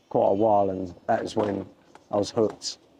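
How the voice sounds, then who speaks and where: A man speaks at a fairly quick pace with a fairly low pitch. His intonation stays monotone and flat. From Essex, England (Southend-on-Sea). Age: 60s. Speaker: skateboarder and decorator. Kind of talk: casual interview. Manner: hesitant, with fillers.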